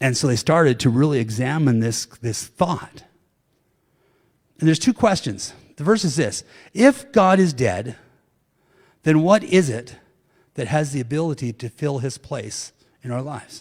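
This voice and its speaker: A fairly high-pitched man, somewhat breathy, with lively intonation and long, frequent pauses. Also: moderate pace. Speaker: pastor. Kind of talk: sermon.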